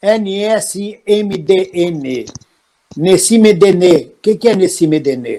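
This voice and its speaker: A man speaks in a high pitch. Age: 70s. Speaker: actor and political commentator hosting live stream. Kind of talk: live stream discussion.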